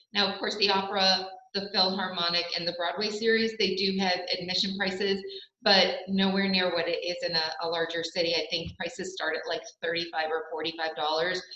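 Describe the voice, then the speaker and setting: Noticeable background noise and audible room echo surround a woman speaking at a fairly quick pace. Her pitch is medium and her intonation flat and monotone. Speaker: local tourism representative. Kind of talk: presentation. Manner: fast.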